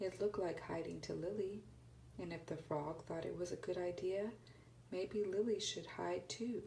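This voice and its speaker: A soft-spoken woman talks at a moderate pace and medium pitch with fairly even intonation. Her tone is dark and mellow, with vocal fry. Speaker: ASMR reader. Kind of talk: read story.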